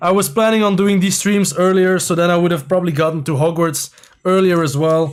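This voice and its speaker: In a Flemish Belgian accent, a man speaks at a high pitch. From Belgium, near Brussels (Leuven area). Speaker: LEGO builder and streamer, former TV contestant. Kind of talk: live stream chat while building. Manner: hesitant, many fillers.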